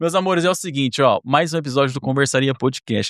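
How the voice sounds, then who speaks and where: In a dry, close sound with no echo, a man with a medium pitch speaks at a very fast pace in an animated tone with ordinary pitch variation. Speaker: podcast host. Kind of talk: casual chat.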